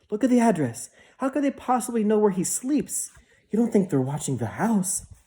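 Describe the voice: Someone puts on a shaky, fairly high-pitched character voice at a fairly quick pace.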